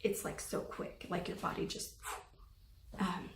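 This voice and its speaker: A shaky-voiced woman at a moderate pace, with audible room echo. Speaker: anxiety vlogger. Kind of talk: personal testimony. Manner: hesitant, many fillers.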